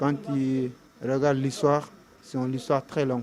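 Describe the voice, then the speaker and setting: A man at a medium pitch, fairly slow in pace, with ordinary pitch variation. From Senegal. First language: Mandinka (speaking French). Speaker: undocumented migrant. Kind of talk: interview testimony. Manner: halting, with hesitations.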